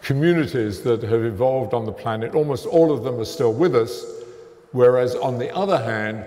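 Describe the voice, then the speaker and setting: Amid noticeable background noise and audible room echo, a man speaks at a medium pitch and moderate pace with ordinary pitch variation. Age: 70s. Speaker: theoretical physicist lecturer. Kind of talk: lecture. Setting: stage with audience.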